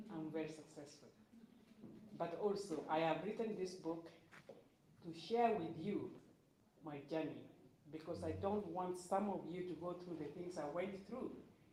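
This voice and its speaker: A woman's fairly low-pitched voice at a moderate pace, with fairly even intonation, noticeable background noise, and audible room echo. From Kenya. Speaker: author and speaker. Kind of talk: personal testimony.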